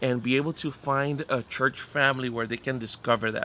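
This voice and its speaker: A man's bright, sharp voice with monotone, flat intonation. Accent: Spanish. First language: Spanish. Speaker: pastor. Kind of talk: interview conversation. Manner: halting.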